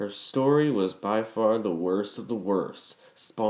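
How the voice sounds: The clip carries a natural reading voice.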